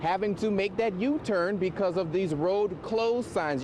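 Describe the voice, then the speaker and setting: A high-pitched man speaks at a moderate pace, with noticeable background noise around him. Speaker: journalist. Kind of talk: TV news reporting.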